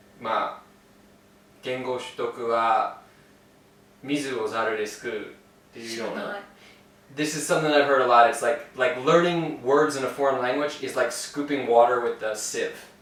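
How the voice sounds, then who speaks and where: A man with an American accent at a moderate pace and a medium pitch, with ordinary pitch variation, long, frequent pauses, audible room echo and noticeable background noise. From Florida, US South. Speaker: English teacher living abroad. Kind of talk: casual interview chat.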